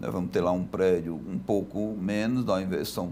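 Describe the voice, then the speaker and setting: Fairly low in pitch, this man's voice has a dark, mellow tone. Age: 60s. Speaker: construction company president. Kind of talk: TV interview. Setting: TV studio.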